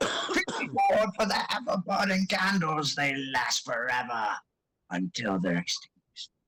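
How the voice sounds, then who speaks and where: A man puts on a high-pitched character voice and talks at a moderate speed. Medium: actual play. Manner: wheedling, scatterbrained.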